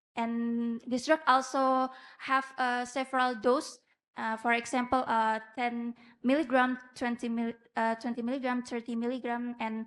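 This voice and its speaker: A woman with an Indonesian accent speaks at a fairly slow pace in a high pitch, with monotone, flat intonation. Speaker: medical student researcher. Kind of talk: conference presentation; Q&A answer. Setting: conference with judges. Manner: halting.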